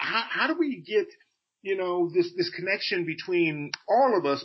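A man speaking with an American accent has a high pitch and lively intonation. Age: 50s. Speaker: legal humorist, co-host. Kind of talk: casual chat. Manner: halting, many repeated words.

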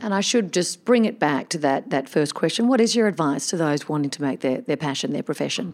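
A woman talks fairly quickly with hardly any pauses. Her fairly low voice makes very wide pitch swings. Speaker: podcast host. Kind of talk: casual interview chat.

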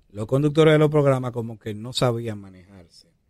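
The pace is moderate. It's an ordinary speaking voice, and its pitch varies in an ordinary way. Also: man. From Dominican Republic, Santo Domingo. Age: 40s. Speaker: hip hop artist. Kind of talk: interview.

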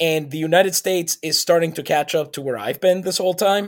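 A man speaks at a moderate pace, high in pitch with ordinary variation. The recording is very clean, with a silent background. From Puerto Rico, San Juan. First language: Spanish. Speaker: podcast co-host. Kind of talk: casual chat.

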